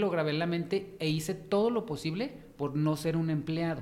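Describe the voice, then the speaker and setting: A man with a Mexican accent at a moderate pace, ordinary pitch variation, audible room echo, and noticeable background noise. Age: 30s. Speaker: fashion stylist. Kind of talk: interview.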